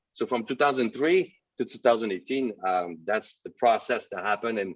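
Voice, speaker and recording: Speaking at a moderate pace, a man with a French Canadian accent shows ordinary pitch variation. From Quebec, north shore (Sept-Îles). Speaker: entrepreneur, webinar guest. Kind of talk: interview. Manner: hesitant, many fillers.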